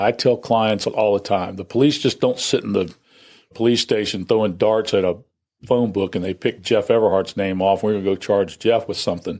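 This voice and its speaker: On a very clean recording with a silent background, a man with a normal speaking voice talks at a moderate pace, fairly low and fairly even in intonation. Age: 60s. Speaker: criminal defense lawyer. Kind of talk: interview. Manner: conversational.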